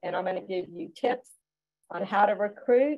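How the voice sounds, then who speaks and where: A woman with a Southern US accent, medium pitch and a moderate pace, over a quiet background. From US South (Georgia). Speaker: school nutrition director; webinar presenter. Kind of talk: webinar presentation. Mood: warm, encouraging. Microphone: video call.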